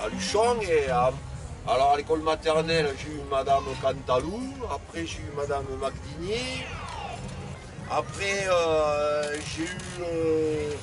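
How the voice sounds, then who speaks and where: Over music in the background, a man with a fairly high pitch and ordinary pitch variation talks at a very slow pace, leaving long, frequent pauses. His loudness swings widely. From southwest France, Toulouse area. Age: 60s. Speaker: fairground ride operator. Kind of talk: interview. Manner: halting.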